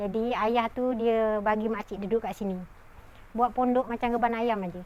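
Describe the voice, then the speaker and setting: At a moderate pace, a woman with a normal speaking voice talks at a fairly high pitch with fairly even intonation. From Malaysia, Selangor (Tanjung Karang). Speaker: pandan farmer. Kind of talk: personal testimony interview.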